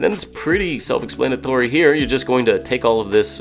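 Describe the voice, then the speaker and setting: A man speaks in an upbeat tone. Music plays in the background. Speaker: home cook. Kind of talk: cooking video voice-over. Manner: casual, upbeat.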